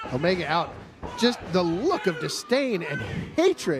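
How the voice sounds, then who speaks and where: Noticeable background noise sits behind a man speaking at a moderate pace, his high pitch showing very wide pitch swings. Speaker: wrestling commentator. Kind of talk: wrestling color commentary.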